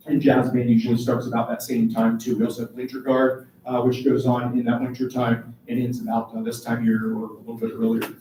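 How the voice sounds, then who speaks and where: A man's medium-pitched, monotone, flat delivery at a fairly quick pace with hardly any pauses, amid noticeable background noise. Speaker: high school band director. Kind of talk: informational meeting presentation. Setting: meeting room with parents, live streamed. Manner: fast.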